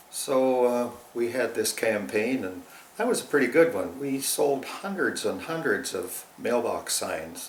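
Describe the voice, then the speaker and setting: Speaking at a fairly slow pace with a Canadian accent, a man is heard with audible room echo and noticeable background noise. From Ontario, Canada (Waterloo County farm). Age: 80s+. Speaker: retired farmer, alumnus of a rural youth club. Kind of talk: oral history interview. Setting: interview near Ripley.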